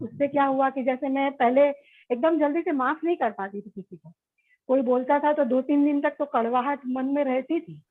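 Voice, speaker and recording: A woman speaks in a high pitch, her loudness swinging a lot. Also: ordinary pitch variation, moderate pace. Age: 60s. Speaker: workshop participant, runs a fashion institute. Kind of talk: self-introduction in a workshop. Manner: hesitant, with fillers.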